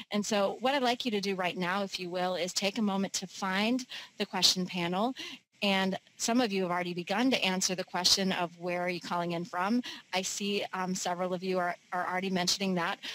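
The woman speaks at a fairly quick pace with fairly even intonation. Her recording has a dry sound with no echo. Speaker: webinar host. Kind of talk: webinar host introduction. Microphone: headset.

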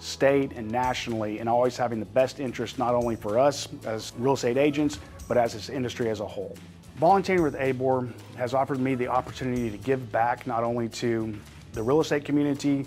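Over faint background music, a man speaks at a very fast pace with ordinary pitch variation. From Austin, Texas. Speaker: realtor, board director. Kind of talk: interview answer. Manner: soft-spoken. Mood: sincere, grateful. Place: studio. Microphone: lapel.

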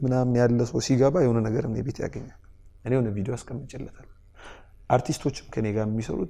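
Intonation stays fairly even in a tone that is dark and mellow. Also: man. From southern Ethiopia, Arba Minch area; Ethiopia. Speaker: TikToker and film actor; film actor. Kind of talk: interview. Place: studio.

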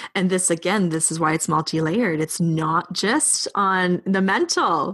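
A woman's medium-pitched voice with a Canadian accent, at a fairly slow pace against a quiet background. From Canada. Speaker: spiritual teacher and coach. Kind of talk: casual chat.

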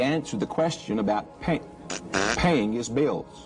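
A man speaks with lively intonation. Clear music plays in the background. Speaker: televangelist. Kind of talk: televangelist sermon. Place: studio.

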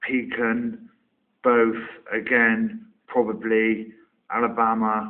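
In a Somerset accent, a man speaks at a very slow pace. His medium-pitched voice stays monotone and flat. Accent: Somerset, West Country English. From Somerset, England. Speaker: online video maker doing an accent tag. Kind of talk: casual, informal.

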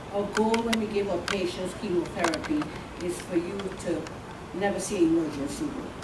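A woman speaks with lively intonation. There is noticeable background noise. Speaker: oncology nurse. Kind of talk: educational talk with audience Q&A. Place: meeting room. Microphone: camera far.

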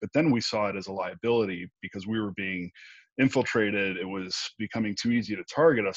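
Against a quiet background with a dry sound and no echo, a man has a normal speaking voice at a fairly low pitch with ordinary pitch variation. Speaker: remote interview guest. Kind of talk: interview answer. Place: home room. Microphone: earbuds.

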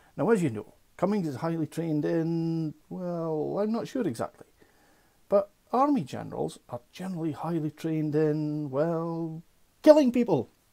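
Over a quiet background, a man with a dark, mellow tone and fairly high pitch speaks at a moderate pace with ordinary pitch variation. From UK. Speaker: political satire vlogger. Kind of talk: satirical news commentary. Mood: sarcastic, mocking humour. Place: home room. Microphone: earbuds.

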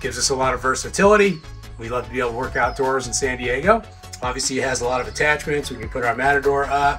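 Faint music plays in the background as a man talks at a fairly quick pace. His pitch varies in an ordinary way. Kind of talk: interview answer. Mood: upbeat, friendly. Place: garden.

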